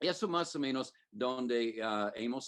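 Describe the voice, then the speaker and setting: A man talks at a fairly slow pace. He has a slight non-native accent. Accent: non-native Spanish, slightly off. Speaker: preacher. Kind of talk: sermon. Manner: halting, many fillers.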